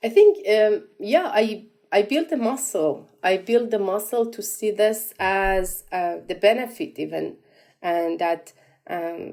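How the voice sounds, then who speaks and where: A woman with a Persian accent speaks in a dark, mellow tone at medium pitch. Her intonation is lively, and her pace is very slow. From Iran. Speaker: entrepreneur. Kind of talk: interview. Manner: halting, many repetitions and fillers.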